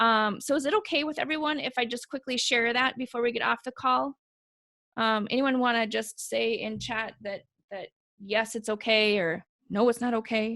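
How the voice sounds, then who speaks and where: With a bright, sharp tone and a fairly high pitch, a woman speaks at a moderate pace with ordinary pitch variation in a dry, close sound with no echo. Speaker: webinar presenter. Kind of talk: webinar presentation. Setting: online call.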